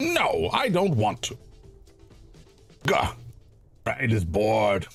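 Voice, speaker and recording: A man puts on a character voice at a very slow pace, with faint music in the background. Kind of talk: crude, third-person self-reference. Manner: bored.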